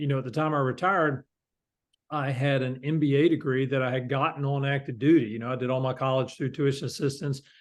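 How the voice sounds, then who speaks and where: There's a man talking at medium pitch in a Southern US accent. His intonation is fairly even, and the background is quiet. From US South, North Carolina. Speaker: company founder and CEO, Marine veteran. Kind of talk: interview. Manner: halting, many fillers.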